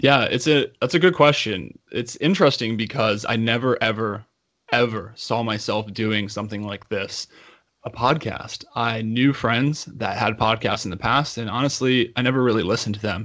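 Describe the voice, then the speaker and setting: Here a man speaks at a medium pitch and a moderate pace. His is an unremarkable speaking voice with ordinary pitch variation. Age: 30s. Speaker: podcast host and coach. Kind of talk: interview conversation.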